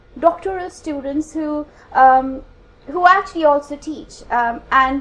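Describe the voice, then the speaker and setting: A woman speaks in an Indian accent with a high pitch. Her pitch varies in an ordinary way. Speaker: academic researcher. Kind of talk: conference talk. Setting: conference room with audience. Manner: halting, many fillers.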